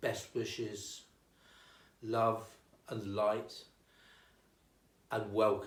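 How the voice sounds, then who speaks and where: At a very slow pace, a man with a medium pitch and a somewhat breathy voice speaks amid audible room echo. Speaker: town crier. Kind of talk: casual interview.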